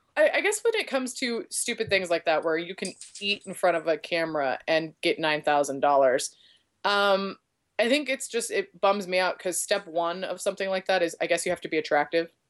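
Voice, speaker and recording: A woman's animated voice at a medium pitch, fairly quick, with lively intonation, on a very clean recording with a silent background. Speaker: podcast co-host. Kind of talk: casual chat.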